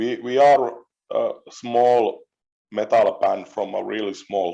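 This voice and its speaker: A man speaks with a Finnish accent. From Finland. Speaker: metal musician. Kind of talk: interview. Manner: halting.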